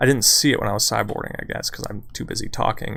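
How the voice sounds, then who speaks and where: A quiet man's voice at a very fast pace, with fairly even intonation. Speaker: gaming streamer. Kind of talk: gameplay commentary.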